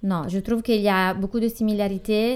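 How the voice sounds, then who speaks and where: This woman has an Italian accent and a medium pitch. Her intonation is monotone and flat. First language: Italian (speaking French). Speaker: artisan brand founder, former finance worker. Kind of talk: interview. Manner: halting.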